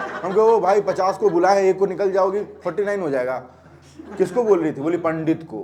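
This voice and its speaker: Noticeable background noise behind a man's high-pitched voice, with ordinary pitch variation and a moderate pace. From Bihar, India. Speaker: stand-up comedian. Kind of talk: stand-up comedy set. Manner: casual, conversational.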